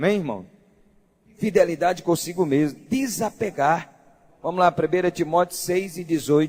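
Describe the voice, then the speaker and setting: This man's high-pitched voice comes with long, frequent pauses. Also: ordinary pitch variation, moderate pace. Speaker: pastor. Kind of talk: sermon.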